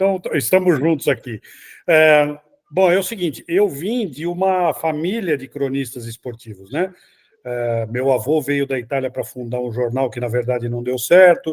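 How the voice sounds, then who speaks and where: A normal speaking voice moves at a moderate pace with lively intonation on a very clean recording with a silent background. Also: man. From Brazil, São Paulo city. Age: 60s. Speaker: sports journalist. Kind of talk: interview.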